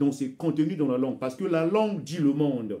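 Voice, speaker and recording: This man has a dark, mellow tone and a fairly high pitch, with a Congolese accent. His pitch varies in an ordinary way. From Republic of Congo. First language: Bembe (speaking French). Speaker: author and commentator. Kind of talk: video monologue, cultural commentary. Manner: hesitant, with repetitions.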